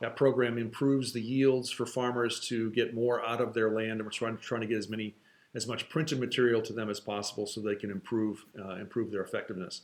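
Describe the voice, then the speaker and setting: Words come at a very fast pace in a monotone, flat intonation. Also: man, medium pitch for a man. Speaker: nonprofit organization staff giving updates. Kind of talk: video update. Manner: casual with fillers.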